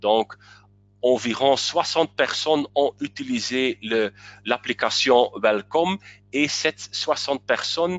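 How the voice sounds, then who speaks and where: This speaker has a non-native accent and ordinary pitch variation. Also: man. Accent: non-native French, self-described weak. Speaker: webinar presenter. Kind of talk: webinar presentation. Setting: online webinar. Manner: halting, many hesitations.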